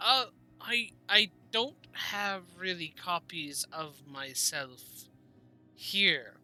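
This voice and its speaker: The speaker uses a put-on character voice. Faint music plays in the background. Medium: actual play. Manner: polite, hesitant.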